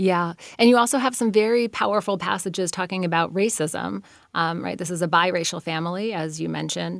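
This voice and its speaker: Recorded very cleanly with a silent background, a woman speaks at a fairly quick pace with ordinary pitch variation. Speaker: radio literary interview host and novelist. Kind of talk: interview. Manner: enthusiastic.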